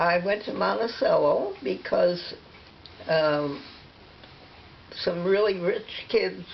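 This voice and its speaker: Very slow speech from a woman, broken by long, frequent pauses, over noticeable background noise. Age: 80s+. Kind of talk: interview answer.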